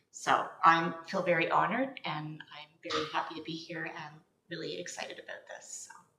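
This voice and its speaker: A woman with a Canadian accent speaks at a moderate pace, her loudness swinging widely. Room echo is audible. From Ontario, Canada. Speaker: registered nurse. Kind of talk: committee meeting introduction.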